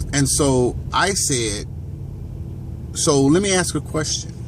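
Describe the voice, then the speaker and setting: Over noticeable background noise and audible room echo, a man speaks. His pitch is fairly high, with lively intonation. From Gary, Indiana, US Midwest. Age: 40s. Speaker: vlogger. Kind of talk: casual monologue. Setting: outdoors, walking or driving along a street. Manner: halting, many fillers.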